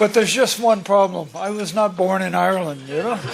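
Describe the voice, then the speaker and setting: A man speaks at a moderate pace in a high-pitched voice. Noticeable background noise runs underneath. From US South, Mississippi. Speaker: business executive. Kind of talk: formal welcome speech. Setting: luncheon event with audience.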